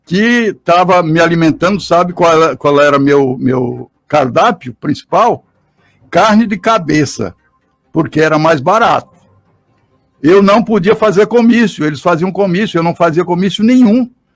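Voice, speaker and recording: Against music in the background, a high-pitched man speaks fairly slowly with lively intonation and very even loudness. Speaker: politician. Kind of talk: call-in radio interview.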